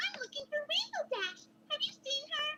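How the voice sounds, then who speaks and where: A female-sounding put-on character voice squeaks at an extremely high pitch. It moves at a moderate pace. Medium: read story. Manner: bubbly, bouncy.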